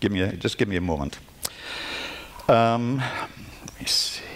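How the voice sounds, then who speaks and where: A man's fairly low voice with lively intonation and long, frequent pauses, plus audible room echo and noticeable background noise. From Northern Ireland. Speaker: glass artist and art professor. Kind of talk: lecture. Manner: halting.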